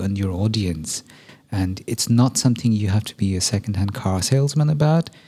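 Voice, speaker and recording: This man's voice is fairly low, dark and mellow, and somewhat breathy. He speaks at a moderate pace with ordinary pitch variation. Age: 40s. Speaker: podcast host and musician. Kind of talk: casual interview.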